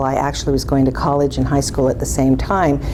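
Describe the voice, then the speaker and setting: A woman with an American accent amid noticeable background noise and audible room echo. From California. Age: 60s. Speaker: esthetics instructor. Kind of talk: interview.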